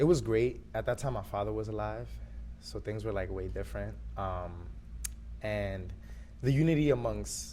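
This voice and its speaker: This voice makes very wide pitch swings and leaves long, frequent pauses, with audible room echo and music in the background. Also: man, very deep, low pitch for a man, moderate pace. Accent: New York. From New York City, Harlem and the Bronx. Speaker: artist. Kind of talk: interview. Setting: in person in New York City. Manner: casual, relaxed.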